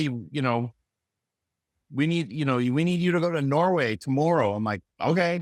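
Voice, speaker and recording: An ordinary speaking voice at a moderate pace, with lively intonation and a dry, close sound with no echo. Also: man. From Canada, Vancouver. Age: 60s. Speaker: music producer and engineer. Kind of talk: casual interview. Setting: video call. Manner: loose, filler-heavy speech.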